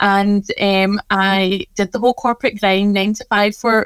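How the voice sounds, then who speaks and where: A woman of medium pitch with a Scottish accent, moderate pace and fairly even intonation, in a dry, close sound with no echo. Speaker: pharmacist and wellness business owner. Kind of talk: casual interview chat.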